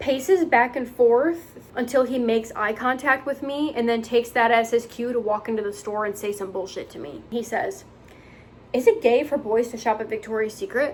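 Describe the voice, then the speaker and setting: Her pitch is high. This woman's pitch varies in an ordinary way. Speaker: retail worker and vlogger. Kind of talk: storytime vlog. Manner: fast; occasional stumbles over words.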